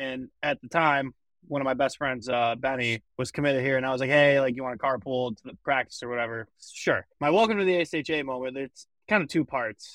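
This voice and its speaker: A man with an American accent and a normal speaking voice talks at a fairly quick pace with hardly any pauses, at medium pitch with ordinary pitch variation and big swings in loudness. The sound is dry and close with no echo, over a quiet background. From Michigan. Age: young. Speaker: college hockey player. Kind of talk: casual chat.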